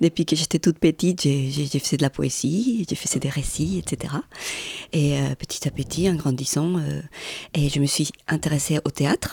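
With a very deep, low pitch and vocal fry, a woman talks at a fairly slow pace in a dark, mellow tone, her pitch varying in an ordinary way. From Colombia, Medellín. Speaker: artist and photographer. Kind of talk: interview.

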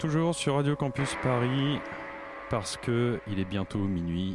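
This clip features a man speaking. Noticeable background noise can be heard. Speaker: radio music columnist. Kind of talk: casual radio chat.

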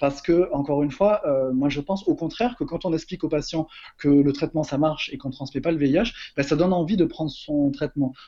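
This man's pitch is fairly high, with ordinary variation. He speaks at a fairly quick pace in a dark, mellow tone. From Marseille, southern France. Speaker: HIV-positive activist. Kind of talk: interview. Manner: halting.

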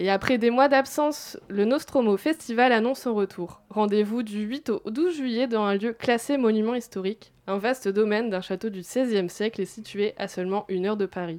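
Against a quiet background, a woman speaks at a moderate pace in an ordinary speaking voice. Her pitch is fairly high, with ordinary pitch variation. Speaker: festival chronicler. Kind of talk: radio chronicle.

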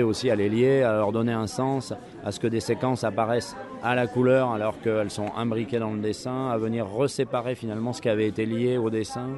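Against noticeable background noise, a man talks at a moderate pace with a medium pitch and fairly even intonation. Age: 40s. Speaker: comic book writer. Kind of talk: interview. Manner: halting, many repetitions and hesitations.

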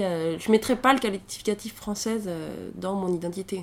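A woman speaks at a medium pitch. Her pitch varies an ordinary amount. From rural central France (Allier). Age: 20s. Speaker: traveller. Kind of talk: interview testimony. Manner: casual, hesitant.

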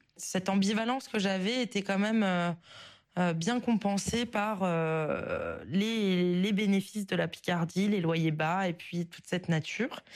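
The woman speaks at a very slow pace. Her pitch varies in an ordinary way. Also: medium pitch for a woman, very clean recording, silent background. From northern France, southern Oise (Picardy). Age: 20s. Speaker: listener leaving voice message. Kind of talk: recorded voice message. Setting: voice memo sent to show. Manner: hesitant, many fillers.

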